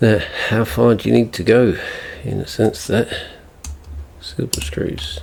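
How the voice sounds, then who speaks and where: This man talks at a fairly slow pace with long, frequent pauses. Noticeable background noise sits behind him. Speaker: tech repair youtuber. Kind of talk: tutorial. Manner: mumbling; halting.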